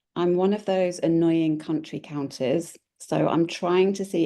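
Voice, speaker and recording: In a British accent, a woman speaks at a moderate pace in a dark, mellow tone, with ordinary pitch variation and a quiet background. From Britain. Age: 40s. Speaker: travel blogger. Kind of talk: casual chat.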